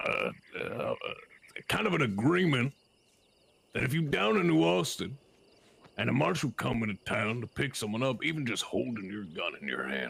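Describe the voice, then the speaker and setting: A man puts on a character voice at a medium pitch. He moves at a moderate pace, with long, frequent pauses. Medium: game stream. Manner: folksy, deliberate.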